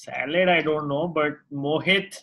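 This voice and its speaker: Using an ordinary speaking voice, a man talks at a moderate pace. His pitch is fairly high, and his intonation fairly even. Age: 30s. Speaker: jiu-jitsu gym owner and podcast co-host. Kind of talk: casual interview chat.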